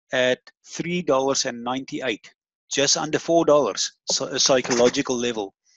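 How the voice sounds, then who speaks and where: A man's voice sits at a fairly high pitch. He keeps a moderate pace with ordinary pitch variation. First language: not English (English is third language). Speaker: crypto trading webinar host. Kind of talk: webinar presentation. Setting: online webinar with screen share.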